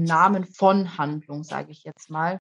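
This woman has a plain, everyday voice with ordinary pitch variation. She talks at a fairly slow pace in a dry, close sound with no echo. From Germany. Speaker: anti-racism activist, young mother. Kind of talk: interview conversation.

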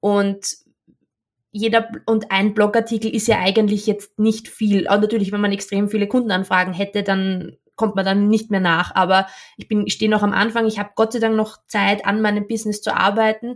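A woman speaks with an Austrian accent. Her intonation is monotone and flat. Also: medium pitch for a woman, moderate pace. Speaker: copywriter. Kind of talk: interview conversation. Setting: video call.

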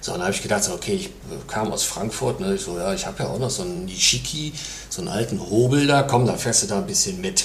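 Speaking at a very fast clip with very wide swings in pitch, the voice carries audible room echo over noticeable background noise. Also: man, medium pitch for a man. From Lower Rhine, Mönchengladbach. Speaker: entrepreneur. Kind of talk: casual interview.

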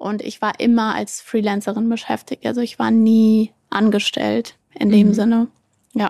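Her voice is fairly high-pitched yet dark and mellow in tone. This woman speaks at a fairly slow pace in a flat monotone. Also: dry, close sound with no echo. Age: 20s. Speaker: entrepreneur, influencer marketing agency founder. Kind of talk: casual interview.

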